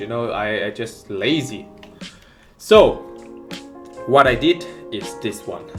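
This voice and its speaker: Over music in the background, a man with a non-native accent talks at a fairly slow pace. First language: not English. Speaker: amateur cooking vlogger. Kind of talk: casual cooking tutorial to camera.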